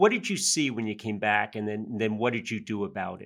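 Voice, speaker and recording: A man speaks with an American accent and ordinary pitch variation. The background is quiet. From Yonkers, New York. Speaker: podcast host. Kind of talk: interview. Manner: halting, many fillers.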